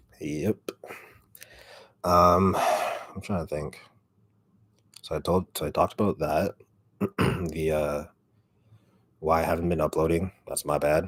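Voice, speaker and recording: A man's very deep, low, raspy voice, flat and monotone, at a fairly slow pace with long, frequent pauses. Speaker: ASMR creator. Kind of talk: casual livestream chat.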